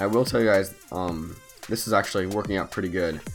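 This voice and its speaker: Over music in the background, a man with a very deep, low pitch speaks at a moderate pace with fairly even intonation. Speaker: mobile game channel host. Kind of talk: gameplay tutorial commentary. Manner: quiet, low-energy.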